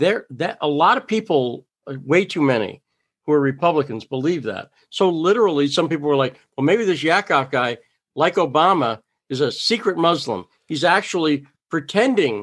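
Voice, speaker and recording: Against a quiet background, a man with an American accent talks in a plain, everyday voice at a fairly high pitch, a moderate pace and with lively intonation. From Massachusetts, US. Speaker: reporter. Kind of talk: interview conversation.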